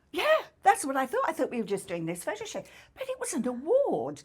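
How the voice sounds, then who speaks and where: A woman speaks with an English accent. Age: 70s. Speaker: podcast co-host and social media personality. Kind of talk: casual chat.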